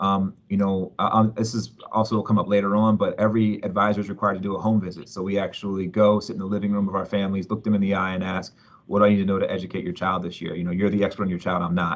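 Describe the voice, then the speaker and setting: A man with an American accent speaks at a very fast pace with hardly any pauses. His pitch is fairly low and his intonation monotone and flat. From US East Coast. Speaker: school leader. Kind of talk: panel presentation.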